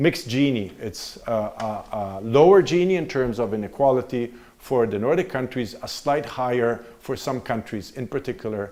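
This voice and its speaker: A man talks with an Italian accent at a moderate pace. His intonation is lively. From Italy. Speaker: visiting political science professor. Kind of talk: university lecture.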